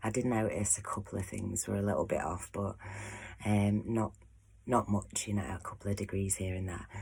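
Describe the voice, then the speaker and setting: With an English accent, a soft-spoken woman talks in a very deep, low pitch. Her voice is somewhat breathy, and her pace is moderate. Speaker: astrology painter and vlogger. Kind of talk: casual vlog monologue. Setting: at home behind closed door.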